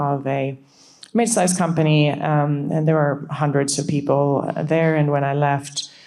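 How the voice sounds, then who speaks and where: Amid audible room echo, a woman with a Swedish accent speaks in a very deep, low pitch with monotone, flat intonation. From Sweden. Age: 40s. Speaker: startup CEO. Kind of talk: panel discussion.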